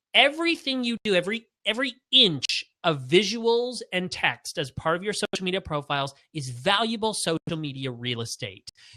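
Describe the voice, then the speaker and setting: Raised and projected, a man's high-pitched voice has a bright, sharp tone and very wide pitch swings, moving at a moderate pace with hardly any pauses in a dry, close sound with no echo. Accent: Canadian. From Canada. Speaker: branding expert. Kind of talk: webinar Q&A.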